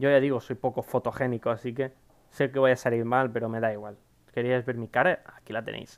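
Delivering his words at a fairly quick pace, a man keeps a monotone, flat intonation. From Spain. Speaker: gaming YouTuber. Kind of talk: casual Q&A to camera. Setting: home recording at PC. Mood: cheerful, joking. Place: home room.

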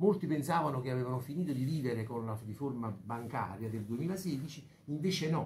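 Somewhat breathy and dark, mellow in tone, a man speaks at a moderate pace with lively intonation, with audible room echo and light background noise. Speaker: bank president. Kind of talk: press conference speech. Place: meeting room.

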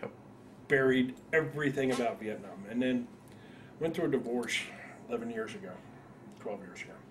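A man with an American accent talks at a moderate pace with ordinary pitch variation, big swings in loudness, and long, frequent pauses over noticeable background noise. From northern New Jersey. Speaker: war veteran. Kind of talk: oral history interview. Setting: veterans reunion. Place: home room.

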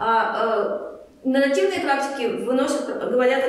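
Strong room echo and noticeable background noise surround the recording. A woman speaks in a high pitch with lively intonation. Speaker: workshop leader, psychologist. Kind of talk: lecture. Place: meeting room. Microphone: camera far.

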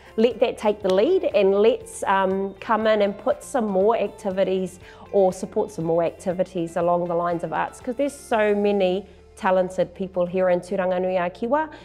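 A woman speaks with ordinary pitch variation over faint background music. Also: moderate pace. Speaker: election candidate. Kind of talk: interview answer. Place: studio. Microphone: lapel.

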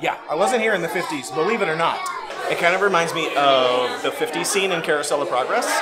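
Over crowd noise in the background, a man talks at a fairly quick pace with ordinary pitch variation. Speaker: travel vlogger. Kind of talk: casual vlog review chat. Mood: amused, chatty. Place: cafe. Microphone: phone near.

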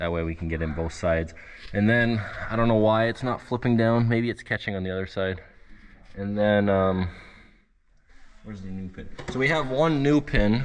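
A man speaks at a moderate pace and a fairly low pitch, with ordinary pitch variation. He leaves long, frequent pauses over light background noise. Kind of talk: casual vlog commentary. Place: workshop. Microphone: phone near.

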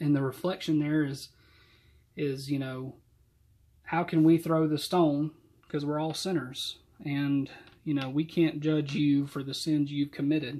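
A man with a Southern US accent speaks at a fairly high pitch in a dark, mellow tone, flat and monotone, at a fairly slow pace with long, frequent pauses. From US South, Georgia. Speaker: church deacon and Sunday school teacher. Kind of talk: youth Bible study talk and testimony. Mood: calm, reflective. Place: home room. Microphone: webcam.

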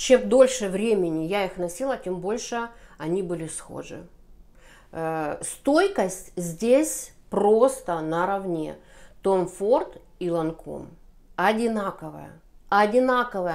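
A woman's medium-pitched voice at a very slow pace, with lively intonation, big swings in loudness, and long, frequent pauses. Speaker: beauty vlogger. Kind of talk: casual monologue.

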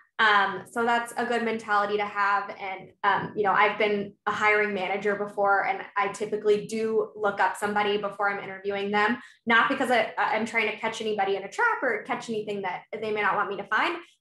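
The speech moves at a fairly quick pace with hardly any pauses, in a monotone, flat intonation, with audible room echo. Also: woman. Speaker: sales manager, former college cheerleader. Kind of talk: panel discussion on video call. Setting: video call. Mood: friendly, engaged. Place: home room. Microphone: webcam.

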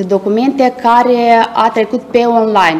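A woman's high-pitched voice, very slow in pace, with monotone, flat intonation. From Moldova. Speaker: small-business agency staff; presenter. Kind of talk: presentation. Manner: formal. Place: office.

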